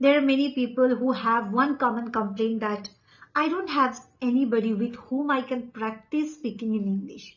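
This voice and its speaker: A woman with an Indian accent speaks at a moderate pace. Her pitch is high, with ordinary variation. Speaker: English coach. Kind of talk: tutorial.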